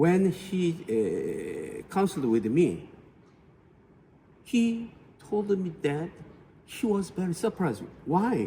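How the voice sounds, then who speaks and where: A high-pitched male voice with lively intonation, a very slow pace, and long, frequent pauses. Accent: Korean. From South Korea. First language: Korean. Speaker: family therapist. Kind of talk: interview. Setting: conference auditorium. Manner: halting.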